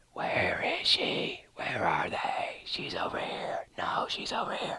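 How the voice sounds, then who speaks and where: Someone whispers in a put-on character voice. The pace is fairly slow. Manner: creepy whispering.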